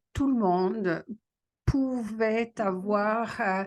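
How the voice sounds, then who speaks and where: Speaking very slowly, the woman's voice sits at a medium pitch. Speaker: panelist. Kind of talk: panel discussion. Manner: halting, many hesitations.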